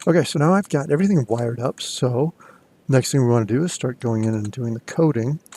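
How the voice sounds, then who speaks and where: A plain, everyday voice from a man, medium in pitch with ordinary pitch variation, in a dry, close sound with no echo. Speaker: college instructor. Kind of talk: screen-recorded tutorial. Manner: casual with fillers.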